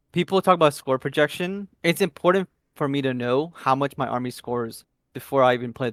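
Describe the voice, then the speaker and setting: A man with a non-native accent speaks fairly quickly at a fairly high pitch. The sound is dry and close with no echo, very clean, with a silent background. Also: ordinary pitch variation. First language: not English. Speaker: competitive tabletop wargame player. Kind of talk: interview.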